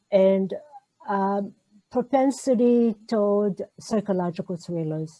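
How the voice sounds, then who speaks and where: A woman with a medium pitch and a dark, mellow tone speaks at a very slow pace in an Israeli accent. Her pitch varies in an ordinary way, with a dry, close sound with no echo. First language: Hebrew. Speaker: novelist. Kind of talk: interview. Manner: halting.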